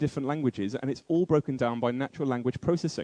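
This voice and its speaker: A dark, mellow voice with a British accent moves through ordinary pitch variation in a dry, close sound with no echo. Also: man. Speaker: conference speaker. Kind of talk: keynote speech. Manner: fast.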